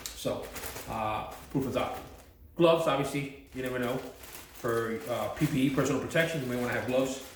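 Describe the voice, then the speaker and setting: The speech moves at a fairly quick pace with fairly even intonation. Noticeable background noise and audible room echo fill the recording. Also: man. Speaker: self-defense and first aid instructor. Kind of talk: tutorial. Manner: fast; casual, hesitant with fillers.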